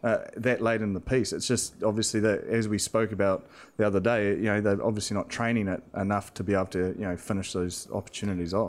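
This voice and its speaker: Very clean and silent in the background, the recording has a man with a New Zealand accent and a fairly low pitch. He talks at a very fast pace in a monotone, flat intonation, with hardly any pauses. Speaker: professional rugby player. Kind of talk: casual chat.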